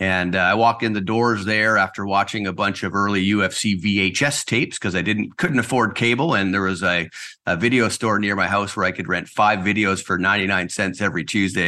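A man with a Canadian accent, fairly quick pace, bright and sharp tone, and a quiet background. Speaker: real estate agency owner. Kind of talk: interview.

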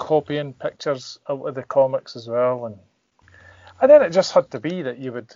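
A man with a Scottish accent and ordinary pitch variation. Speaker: comic artist. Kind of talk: casual chat.

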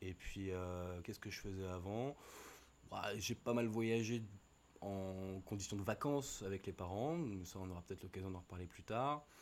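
Speaking at a moderate pace, a man uses a plain, everyday voice with a fairly low pitch and ordinary pitch variation. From Paris region, Seine-et-Marne. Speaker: graphic designer. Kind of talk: casual chat.

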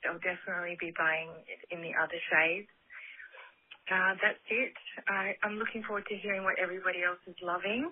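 A woman's medium-pitched, monotone voice with an Australian accent, flat in intonation. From Australia, Sydney. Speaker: caller. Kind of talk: voicemail.

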